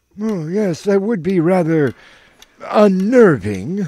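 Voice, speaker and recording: Using ordinary pitch variation, a man talks fairly slowly in a high voice. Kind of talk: comedic radio detective drama. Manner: polite, fussy, gently scolding.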